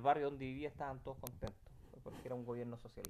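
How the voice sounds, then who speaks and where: This is a man with a medium-pitched voice. His tone is dark and mellow. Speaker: eyewitness interviewee. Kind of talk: personal testimony interview. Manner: halting, many repetitions and fillers.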